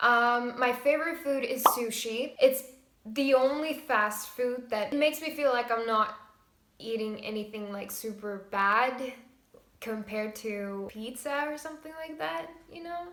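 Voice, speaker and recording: With an Estonian accent, a woman speaks at a fairly slow pace in a high, bright, sharp voice with ordinary pitch variation and big swings in loudness, amid audible room echo. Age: 20s. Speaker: vlogger. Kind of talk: casual Q&A vlog.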